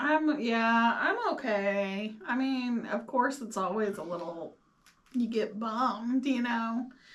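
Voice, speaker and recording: Noticeable background noise sits behind a woman speaking at a very slow pace. Her voice is fairly high, with ordinary pitch variation. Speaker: cancer patient sharing scan results. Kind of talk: casual chat.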